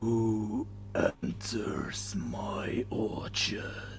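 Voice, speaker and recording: A man does a put-on character voice that is guttural and raspy. Clear background noise runs underneath. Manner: gruff, challenging.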